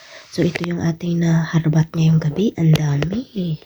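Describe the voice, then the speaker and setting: Noticeable background noise under fairly slow speech. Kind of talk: street-seller style sales pitch, showing off each find item by item. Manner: animated, upbeat and enthusiastic, repeating words for emphasis.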